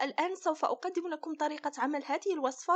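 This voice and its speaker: The background stays quiet as a woman talks in a high voice. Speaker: recipe channel host. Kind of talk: tutorial.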